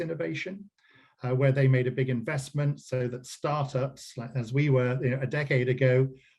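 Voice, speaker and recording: A man speaks with an English accent at a fairly quick pace. His voice is somewhat breathy, with fairly even intonation. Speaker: company CEO. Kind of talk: business interview. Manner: hesitant, many fillers.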